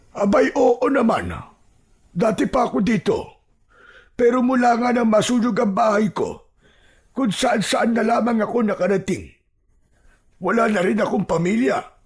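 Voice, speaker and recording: A put-on character voice speaks at a fairly high pitch and a moderate pace. Long, frequent pauses break up the delivery. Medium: read story. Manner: slow.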